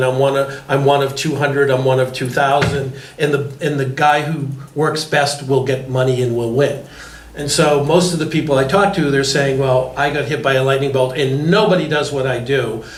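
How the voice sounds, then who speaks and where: A fairly high-pitched man speaks at a moderate pace in a monotone, flat intonation. Audible room echo and noticeable background noise are present. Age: 60s. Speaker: panel moderator. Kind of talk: panel discussion.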